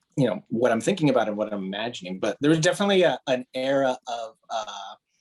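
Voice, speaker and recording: A man with an American accent talks at a very fast pace. His pitch is medium, and it swings very widely. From Miami, Florida (Cuban American). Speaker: comic book author. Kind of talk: panel discussion.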